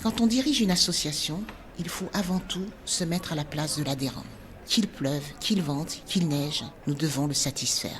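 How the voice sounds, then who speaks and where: Through noticeable background noise, a woman speaks at a moderate pace with a very deep, low pitch. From Benin. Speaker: dance teacher, former journalist. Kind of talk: personal storytelling podcast.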